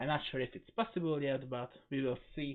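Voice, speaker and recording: A man with a non-native accent and a fairly high pitch. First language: not English. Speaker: gaming video creator. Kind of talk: gameplay commentary. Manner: hesitant, with fillers.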